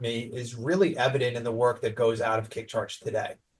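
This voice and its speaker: A man speaks with a slight New York accent in a somewhat breathy voice. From New York (Staten Island). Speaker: branding agency owner. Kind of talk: podcast interview. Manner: animated.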